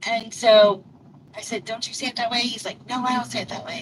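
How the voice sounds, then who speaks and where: A woman's fairly high pitch at a fairly quick pace, over noticeable background noise. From Louisville, Kentucky. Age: old. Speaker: live streamer and delivery driver. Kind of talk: casual chat. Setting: live stream. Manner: rambling, conversational.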